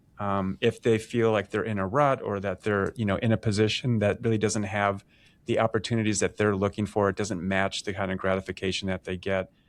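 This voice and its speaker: Recorded very cleanly against a silent background, a man speaks at a fairly quick pace in a fairly low voice with monotone, flat intonation. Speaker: professor and podcast host. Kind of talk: casual interview. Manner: fast.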